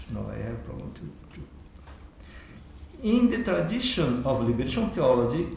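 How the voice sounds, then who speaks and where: Through audible room echo, a man with a non-native accent takes long, frequent pauses, and his loudness swings widely. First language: Portuguese. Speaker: theology professor. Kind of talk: keynote lecture. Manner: halting.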